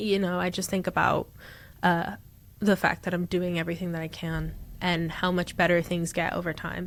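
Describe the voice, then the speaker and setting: A woman speaks with an American accent at a moderate pace and fairly low pitch. The recording is very clean, with a silent background. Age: 20s. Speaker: artist. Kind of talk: casual chat. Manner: animated.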